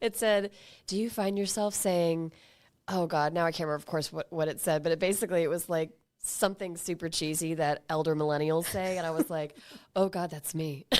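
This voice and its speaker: A normal speaking voice at a fairly quick pace with fairly even intonation. The recording is very clean, with a silent background. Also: woman, fairly low pitch for a woman. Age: 40s. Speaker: podcast co-host. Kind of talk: casual chat. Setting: studio.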